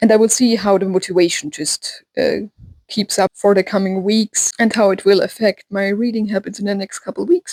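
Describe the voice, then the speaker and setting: At a fairly quick pace, a woman with a German accent speaks at a medium pitch with fairly even intonation, the sound dry and close with no echo. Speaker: book vlogger. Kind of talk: casual vlog talk. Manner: hesitant with fillers.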